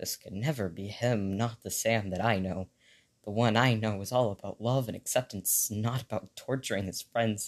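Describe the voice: Reading aloud, plain and simple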